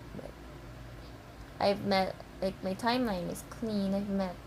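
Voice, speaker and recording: A woman speaks very slowly with a non-native accent. Audible echo from the room surrounds her voice. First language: not English. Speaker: fan vlogger. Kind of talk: casual vlog monologue. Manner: halting, stammering; rambling, emotional.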